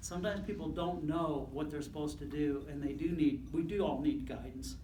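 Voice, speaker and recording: There is audible room echo as a man speaks at a fairly quick pace with fairly even intonation. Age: 60s. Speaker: school superintendent. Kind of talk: speech to a club. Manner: halting.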